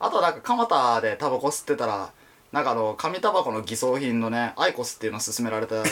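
Talking very rapidly, a man lets his pitch rise and fall in an ordinary way. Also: medium pitch for a man. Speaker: podcast co-host, illustrator. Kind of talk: casual chat.

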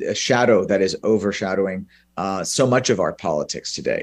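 With an unremarkable speaking voice, a man talks at a moderate pace and a fairly low pitch. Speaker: professor. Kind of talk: press briefing talk. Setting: video call.

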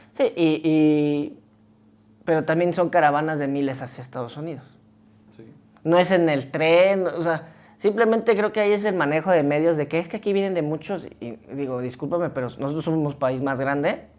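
Her voice very deep and low, a woman with a Mexican accent talks with ordinary pitch variation and big swings in loudness. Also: moderate pace. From Oaxaca, Mexico. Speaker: podcast co-host. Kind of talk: casual chat.

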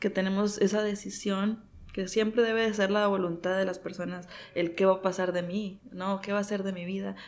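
A woman uses a normal speaking voice at a medium pitch, talking at a fairly quick pace with fairly even intonation. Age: 30s. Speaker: physician, gerontologist. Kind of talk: interview.

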